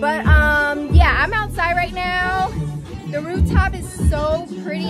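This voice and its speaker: Over music in the background, a woman speaks in a dry sound with no echo. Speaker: vlogger. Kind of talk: casual vlog chat. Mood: playful, mildly annoyed. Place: street. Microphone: phone near.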